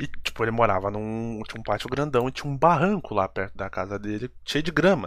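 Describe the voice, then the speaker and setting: Talking at a fairly quick pace, a man uses a plain, everyday voice of medium pitch with ordinary pitch variation. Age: 20s. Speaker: podcast host. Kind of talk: casual chat.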